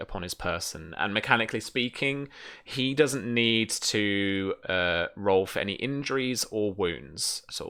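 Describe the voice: Slow in pace, the voice has a clear, smooth tone that is also bright and sharp, with ordinary pitch variation. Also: man.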